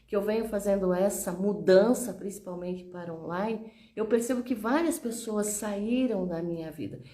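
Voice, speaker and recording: There is audible room echo around a woman's voice. She talks at a moderate pace with a fairly high pitch. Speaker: communication coach, teacher. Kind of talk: motivational talk to online audience. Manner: conversational, repetitive fillers.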